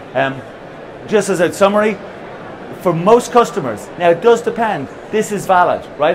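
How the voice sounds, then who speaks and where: Spoken in an Irish accent with ordinary pitch variation, the clip has audible room echo and noticeable background noise. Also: man. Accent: non-American accent (Irish). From Ireland. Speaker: company founder and CEO. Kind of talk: conference presentation. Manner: halting with repetitions.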